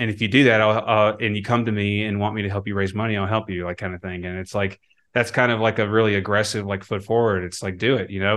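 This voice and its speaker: A man with a fairly low pitch and an American accent, fairly even intonation, and a quiet background. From US Midwest. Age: 30s. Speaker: portfolio manager. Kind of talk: interview. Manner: halting, many fillers.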